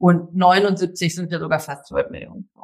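The speaker is a woman with a medium pitch. She has a plain, everyday voice and a fairly slow pace. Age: 40s. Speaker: author and journalist. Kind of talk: interview.

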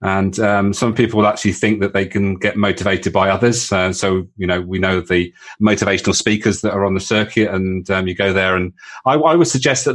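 In a British accent, a man talks at a fairly quick pace. His pitch is fairly low, with ordinary variation. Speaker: leadership coach. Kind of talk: interview conversation. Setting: call.

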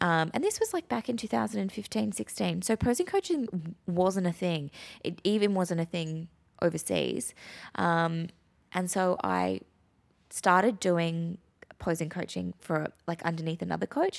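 A woman speaks with an Australian accent at a moderate pace. The recording is very clean, with a silent background. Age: 30s. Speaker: podcast host, posing coach and business owner. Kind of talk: casual chat.

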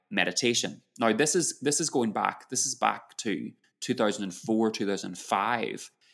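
In a very clean recording with a silent background, a man speaks very slowly with vocal fry and ordinary pitch variation. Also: medium pitch for a man. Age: 40s. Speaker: yoga teacher. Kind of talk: interview.

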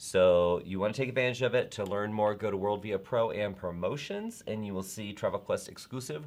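A man with an American accent, fairly low in pitch, at a moderate pace with ordinary pitch variation, in a plain, everyday voice. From US South. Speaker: travel network host. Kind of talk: casual live chat show. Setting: live video stream.

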